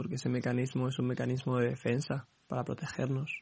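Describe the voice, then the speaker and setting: Somewhat breathy, the man speaks at a medium pitch. His intonation is monotone and flat, at a moderate pace. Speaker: podcast host. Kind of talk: personal monologue. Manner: halting, repeating words.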